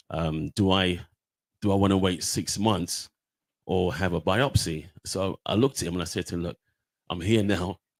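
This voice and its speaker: In a dry, close sound with no echo, a man with a very deep, low pitch speaks with long, frequent pauses. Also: ordinary pitch variation, moderate pace. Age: 60s. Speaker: prostate cancer survivor and awareness campaigner. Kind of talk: testimony. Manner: halting, many fillers and repetitions.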